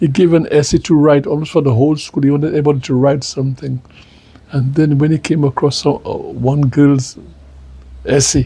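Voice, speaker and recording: A man's somewhat breathy voice has a fairly high pitch and a dark, mellow tone, with fairly even intonation at a fairly quick pace. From Saint Lucia, rural village. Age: 80s+. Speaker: retired politician. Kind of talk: interview. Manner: halting, repetitive.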